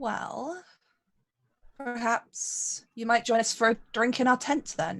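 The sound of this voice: A woman speaks slowly at a fairly high pitch with ordinary pitch variation. Her fairly bright tone carries vocal fry.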